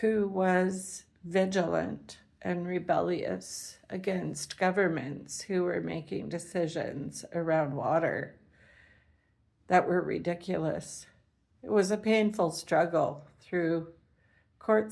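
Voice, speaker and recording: A woman speaks with a Canadian accent. Her pace is very slow. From Canada. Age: 70s. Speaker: retired teacher and environmental activist. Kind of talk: personal monologue. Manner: rambling, with filler words.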